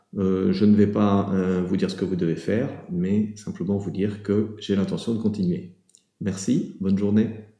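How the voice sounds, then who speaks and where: A man speaks in a fairly low pitch with monotone, flat intonation. He keeps a moderate pace, and room echo is audible. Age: 60s. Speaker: business owner giving a client testimonial. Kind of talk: testimonial. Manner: halting, many filler hesitations.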